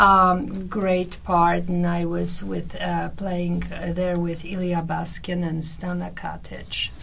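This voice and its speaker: A woman speaks at a very slow pace with a Polish accent. Room echo is audible. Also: hardly any pauses. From Poland. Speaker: actress and translator. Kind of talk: radio interview. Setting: radio studio.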